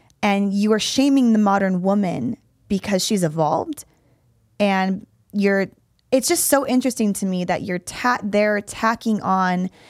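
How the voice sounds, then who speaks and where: The speaker has a plain, everyday voice at a fairly slow pace, on a very clean recording with a silent background. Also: woman. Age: 30s. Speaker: fitness coach and podcast host. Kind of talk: casual chat.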